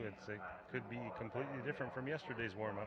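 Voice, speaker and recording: Over noticeable background noise, a man talks at a very fast pace and medium pitch with fairly even intonation. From Mexico. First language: Spanish. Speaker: equestrian commentator. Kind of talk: live commentary.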